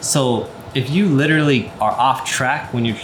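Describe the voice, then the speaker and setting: Over noticeable background noise and audible room echo, a man talks with medium pitch and ordinary pitch variation. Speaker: product reviewer. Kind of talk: product review and demonstration. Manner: casual, filler-heavy.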